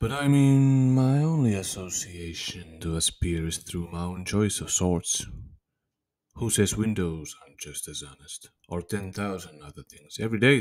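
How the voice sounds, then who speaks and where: A man speaks with very wide pitch swings. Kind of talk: poetry spoken word, reflective. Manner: slow, contemplative, measured.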